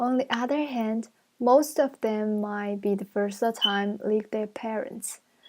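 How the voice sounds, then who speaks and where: A very slow woman's voice with fairly even intonation. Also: fairly high pitch for a woman. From China. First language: Chinese. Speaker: university student. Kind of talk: class presentation. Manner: halting.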